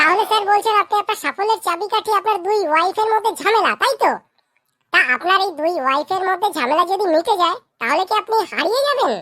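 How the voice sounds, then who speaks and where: At a fairly quick pace, a cartoonish character voice comes out squeaky and extremely high in pitch. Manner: deferential, eager.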